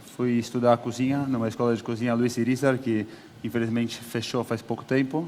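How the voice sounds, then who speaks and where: Speaking fairly quickly, a man keeps a monotone, flat intonation at a medium pitch. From Brazil, São Paulo. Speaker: chef. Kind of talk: on-stage interview. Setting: stage with audience.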